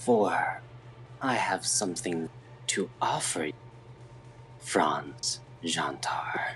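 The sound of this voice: Using a put-on character voice, a man speaks very slowly at a medium pitch, with lively intonation and long, frequent pauses. Hissing and light background noise come through as well.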